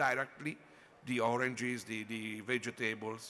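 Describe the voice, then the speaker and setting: Bright and sharp in tone, a man with an Italian accent speaks at a medium pitch and a moderate pace. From Italy. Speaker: wine and food critic. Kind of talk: conference panel talk. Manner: halting.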